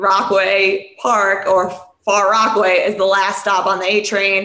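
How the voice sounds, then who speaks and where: A woman speaks in an American accent with monotone, flat intonation. Room echo is audible. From New York City, Queens. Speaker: beverage company founder. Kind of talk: casual chat.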